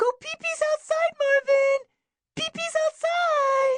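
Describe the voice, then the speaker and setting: Someone performs a put-on character voice at an extremely high pitch, speaking at a fairly slow pace. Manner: sing-song, coaxing.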